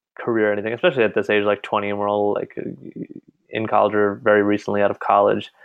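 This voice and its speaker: Speaking very fast with a New York accent, a man uses a fairly low pitch. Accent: American English, New York. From US Northeast, New York. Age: 20s. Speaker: college student. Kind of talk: casual chat.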